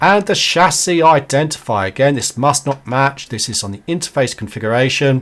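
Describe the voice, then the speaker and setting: With an unremarkable speaking voice, a man talks at a moderate pace, his pitch fairly high and his intonation lively. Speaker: networking tutorial creator. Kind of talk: tutorial.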